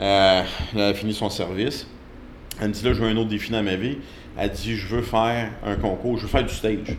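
A man with a fairly low pitch speaks at a fairly quick pace in a monotone, flat intonation. His delivery has long, frequent pauses, and room echo is audible. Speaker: strength coach. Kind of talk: interview.

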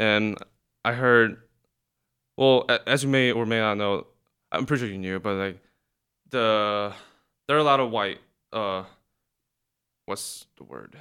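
In a Korean accent, a man with a bright, sharp tone and medium pitch talks at a fairly slow pace with ordinary pitch variation and long, frequent pauses, on a very clean recording with a silent background. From South Korea. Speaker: college student guest. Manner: laid-back, laughs often.

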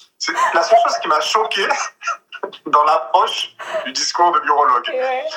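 In a raised, projected voice, a man speaks at a moderate pace with a high pitch and very wide pitch swings. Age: 30s. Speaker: video surveillance manager, vasectomy patient. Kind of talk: casual chat.

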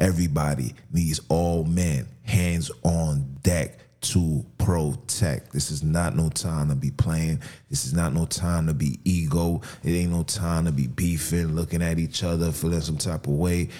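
A man's very deep, low voice with ordinary pitch variation over music in the background. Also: fairly slow pace. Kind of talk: angry rant. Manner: forceful, emphatic and repetitive, hammering points with sarcasm and street slang; loud, indignant preacher-like delivery with rhetorical questions.

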